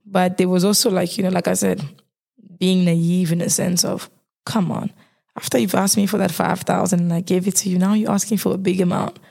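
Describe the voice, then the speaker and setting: A woman talks at a fairly quick pace in a medium pitch, her voice somewhat breathy with a dark, mellow tone, very even loudness and fairly even intonation. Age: 20s. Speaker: marketing graduate. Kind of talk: casual chat. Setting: studio.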